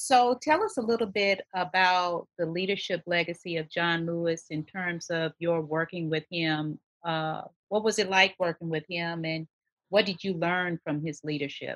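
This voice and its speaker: A woman with an American accent and a fairly low pitch uses a normal speaking voice at a moderate pace with fairly even intonation, the sound dry and close with no echo. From Texas. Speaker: podcast host. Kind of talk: interview.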